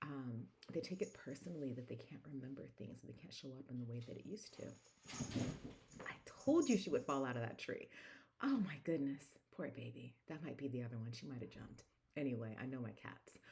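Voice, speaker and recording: A woman with a very deep, low pitch and a dark, mellow tone speaks quietly, somewhat breathily and fairly quickly, in a calm tone with lively intonation. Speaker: wellness coach and speaker. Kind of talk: casual vlog. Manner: quiet and calm; halting, frequent fillers.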